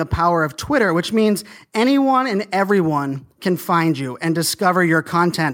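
Over a very clean recording with a silent background, a man talks at a moderate pace with lively intonation. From US, Pittsburgh then Virginia Beach. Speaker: social media marketing consultant. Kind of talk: podcast interview.

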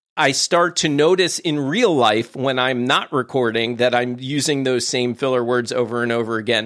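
Here a man talks with an American accent at medium pitch. His pace is moderate. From US Mid-Atlantic. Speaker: podcast producer and consultant. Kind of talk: interview conversation. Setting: remote call, traveling away from studio. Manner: animated.

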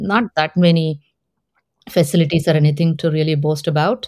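Speaking at a moderate pace, a woman with an Indian accent has a fairly low voice. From Hyderabad, India. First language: Telugu. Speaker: tech executive. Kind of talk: interview.

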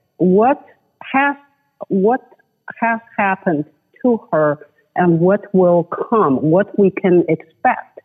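In a Chinese accent, a woman speaks at a very slow pace and a medium pitch, with long, frequent pauses, very even loudness and lively intonation. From China. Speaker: human rights advocate. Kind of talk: interview. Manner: halting.

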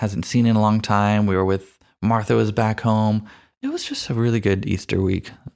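On a very clean recording with a silent background, a man with a fairly low pitch speaks at a moderate pace in a flat monotone. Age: 30s. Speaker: podcast host and audio producer. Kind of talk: casual chat.

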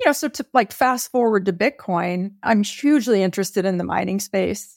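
Fairly quick speech with vocal fry and ordinary pitch variation, in a dry, close sound with no echo. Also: woman, very clean recording, silent background. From Texas. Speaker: bank executive and bitcoin expert. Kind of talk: interview.

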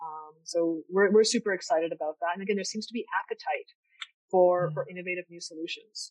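A very fast, medium-pitched woman's voice in a Canadian accent, fairly even in intonation but with big swings in loudness, dry and close with no echo. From Canada, Niagara region of Ontario. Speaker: tech startup founder and former architect. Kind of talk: interview. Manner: halting, many fillers.

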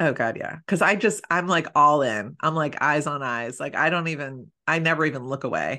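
Against a quiet background, a woman with an American accent and a very deep, low pitch speaks in a bright, sharp, animated tone at a moderate pace, with ordinary pitch variation and hardly any pauses. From Philadelphia, US. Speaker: matchmaker and podcast host. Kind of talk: casual interview chat.

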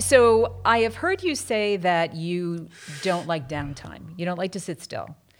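A woman with an ordinary speaking voice and a fairly low pitch talks at a fairly slow pace with lively intonation. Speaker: podcast host and prevention program director. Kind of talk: interview, casual conversation.

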